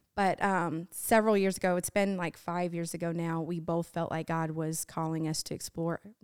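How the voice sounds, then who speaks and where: With an American accent, a woman speaks at a moderate pace in a flat monotone and a fairly low pitch, the sound dry and close with no echo in a very clean recording with a silent background. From Washington State, US. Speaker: singer-songwriter and pastor's wife. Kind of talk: testimony in podcast interview. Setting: studio recording in Lufkin, Texas.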